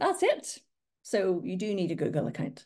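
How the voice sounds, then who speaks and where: A woman with a Northern Irish accent. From Northern Ireland. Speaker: social media marketing trainer. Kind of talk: webinar presentation. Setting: online webinar.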